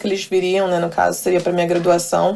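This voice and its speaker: A woman's voice with a dark, mellow tone. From Brazil. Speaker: professional volleyball player. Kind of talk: interview. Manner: halting.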